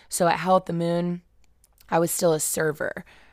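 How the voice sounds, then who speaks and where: A woman with an American accent talks at a moderate pace in a very deep, low pitch. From Indianapolis, Indiana, US Midwest. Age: 20s. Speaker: podcast host and blogger. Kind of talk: casual personal monologue. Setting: alone in her room.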